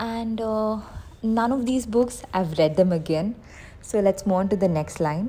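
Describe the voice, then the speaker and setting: Somewhat breathy and fairly high in pitch, a woman talks at a fairly slow pace in a dark, mellow tone with ordinary pitch variation. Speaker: book youtuber. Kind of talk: casual vlog talk.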